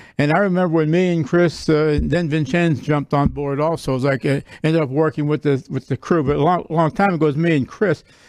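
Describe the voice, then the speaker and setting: Fairly quick in pace, a normal speaking voice keeps fairly even intonation. The sound is dry and close with no echo. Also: man. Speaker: sportsbook worker. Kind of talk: casual chat. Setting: studio.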